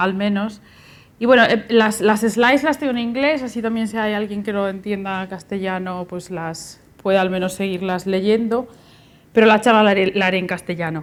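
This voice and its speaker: A woman with a Galician accent speaks at a moderate pace and a medium pitch. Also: ordinary pitch variation. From Galicia, Spain. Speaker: university researcher and lecturer. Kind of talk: lecture.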